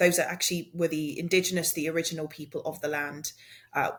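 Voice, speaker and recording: Talking at a very fast pace, a woman with a very deep, low pitch sounds somewhat breathy, her intonation fairly even. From South Africa, Cape Town; moved to UK as child or youth. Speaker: podcast co-host, diversity and inclusion practitioner. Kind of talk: casual conversational podcast chat.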